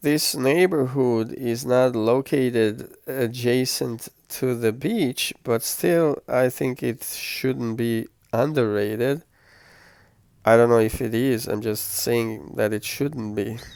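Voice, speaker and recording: In a relaxed tone and at a very slow pace, a man with a non-native accent speaks at a medium pitch with ordinary variation, on a very clean recording with a silent background. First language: not English. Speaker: travel vlogger. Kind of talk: travel vlog narration. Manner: relaxed, with hesitations.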